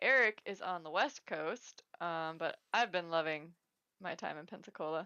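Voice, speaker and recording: This is a woman speaking with an American accent. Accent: slight Wisconsin accent, stronger when tipsy. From Wisconsin, US Upper Midwest. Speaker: professional disc golfer, co-host. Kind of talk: casual chat livestream.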